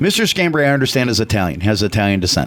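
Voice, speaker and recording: A man speaks in an animated tone with lively intonation. Noticeable background noise runs behind him. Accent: American. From US Midwest, Chicago. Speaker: radio talk show co-host. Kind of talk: casual radio talk. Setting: radio studio. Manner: loud.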